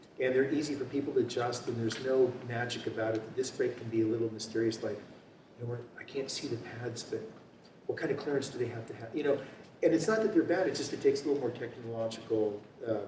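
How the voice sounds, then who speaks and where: A man talking at a very fast pace and medium pitch with an American accent, ordinary pitch variation, noticeable background noise and audible room echo. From California (Marin County). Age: 60s. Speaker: bicycle frame builder. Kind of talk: seminar talk with Q&A. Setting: seminar room with audience. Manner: casual, halting with fillers.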